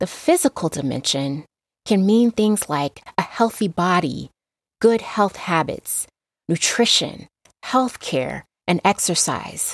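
A woman with an American accent speaks very slowly with very wide pitch swings on a very clean recording with a silent background. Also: medium pitch for a woman. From Las Vegas, Nevada, US. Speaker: podcast host, health educator. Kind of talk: solo podcast monologue.

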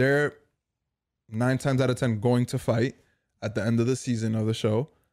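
At a moderate pace and a medium pitch, a man with an American accent talks in monotone, flat intonation with long, frequent pauses, on a very clean recording with a silent background. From Dominican heritage, US. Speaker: podcast co-host. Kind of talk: casual chat.

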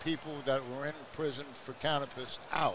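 Pitched at a medium level for a man, his intonation stays fairly even. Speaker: former prisoner. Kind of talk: testimony.

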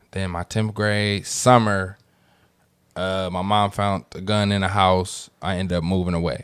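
A man with a very deep, low voice speaks at a fairly slow pace, his intonation fairly even. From San Francisco, Fillmore. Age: 30s. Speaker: rapper. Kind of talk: casual chat.

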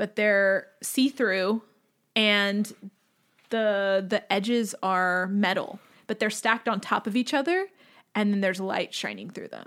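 In a very clean recording with a silent background, a woman with an American accent and an ordinary speaking voice talks fairly slowly at a medium pitch with fairly even intonation. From Lockhart, Texas. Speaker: podcast guest. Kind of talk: casual chat.

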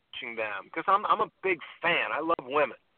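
A normal speaking voice at a moderate pace. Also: man. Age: 50s. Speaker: dating coach. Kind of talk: casual chat. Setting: phone call from a car.

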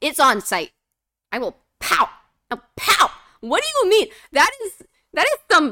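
A woman's raised, projected voice moves at a moderate pace with very wide pitch swings and a bright, sharp tone. The sound is dry and close, with no echo. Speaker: podcast host. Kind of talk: angry rant. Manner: fired-up, indignant, emphatic.

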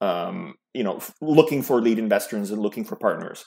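A man with a New York accent, a medium pitch and lively intonation. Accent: New York American. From New York City, born in Serbia. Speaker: startup founder. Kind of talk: interview.

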